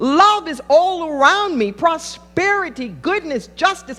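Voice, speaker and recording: Over background music, a woman with an American accent speaks at an extremely high pitch and a very slow pace. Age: 60s. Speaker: pastor. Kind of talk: sermon.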